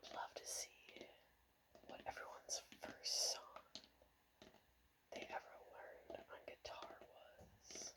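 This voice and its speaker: The speaker whispers at a very slow pace, with long, frequent pauses. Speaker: ASMR creator and guitar player. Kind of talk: ASMR whispered ramble about guitars. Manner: whispered, soft-spoken.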